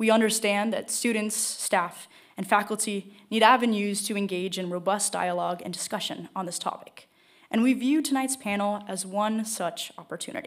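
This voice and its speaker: A woman's voice moves at a moderate pace with ordinary pitch variation, the background quiet. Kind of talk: formal event introduction. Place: hall. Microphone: podium.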